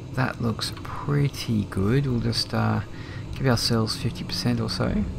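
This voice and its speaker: Speaking at a fairly slow pace in an Australian accent, a man is heard over noticeable background noise. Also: very even loudness. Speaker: flight sim streamer. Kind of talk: casual live-stream commentary. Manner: relaxed, hesitant with fillers.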